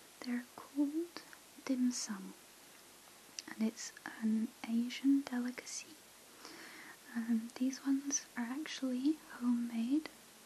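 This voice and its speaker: Soft-spoken and gentle in tone, a woman talks at a very slow pace with long, frequent pauses over light background noise. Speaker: ASMR creator. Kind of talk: asmr whisper. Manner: soft-spoken, slow and gentle; hushed and relaxing, with hesitant pauses. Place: home room.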